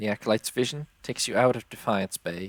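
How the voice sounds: The speaker reads in a natural reading voice.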